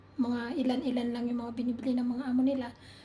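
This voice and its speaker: There is noticeable background noise behind this woman. She talks at a fairly quick pace in a high pitch. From Philippines. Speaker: overseas domestic worker vlogger. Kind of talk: casual vlog.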